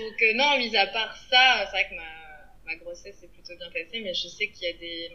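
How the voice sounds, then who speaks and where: Over noticeable background noise, a woman of medium pitch talks at a fairly slow pace with hardly any pauses, ordinary pitch variation and big swings in loudness. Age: 30s. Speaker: podcast guest, mother. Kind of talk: casual interview. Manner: hesitant, many fillers.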